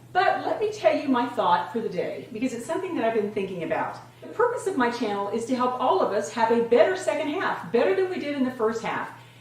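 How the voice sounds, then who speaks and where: Delivered at a fairly quick pace with very wide pitch swings, the speech carries audible room echo and noticeable background noise. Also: woman. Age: 60s. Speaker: fitness and lifestyle vlogger. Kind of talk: casual vlog talk to camera.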